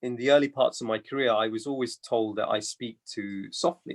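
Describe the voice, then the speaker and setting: A man at medium pitch and a moderate pace, with a British accent, ordinary pitch variation and a dry, close sound with no echo. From England. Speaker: accountant and business partner. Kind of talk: webinar interview.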